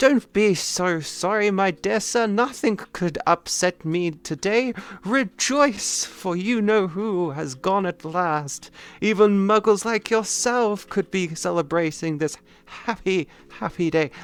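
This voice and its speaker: A man puts on a squeaky character voice, high in pitch and fairly slow. The recording is very clean with a silent background. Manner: gleeful, exuberant.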